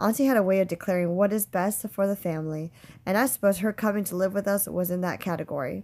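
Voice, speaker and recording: A woman speaks in a plain, everyday voice at a medium pitch, at a fairly quick pace. Her intonation is fairly even, and the recording is very clean with a silent background. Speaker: teacher reading a novel aloud. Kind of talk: literary audiobook reading. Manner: measured, storytelling narration with shifts of voice for each character's dialogue.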